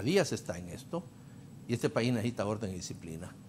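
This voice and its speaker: Very wide pitch swings mark a man's voice, with light background noise. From Honduras. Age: 70s. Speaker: former ambassador and party politician; party politician. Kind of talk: political talk show panel. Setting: TV studio. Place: studio.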